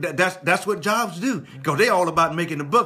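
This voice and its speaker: A man's passionate, high-pitched voice at a fairly quick pace, over noticeable background noise. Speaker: pastor, church preacher. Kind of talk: live sermon, preaching to congregation. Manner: emphatic, passionate.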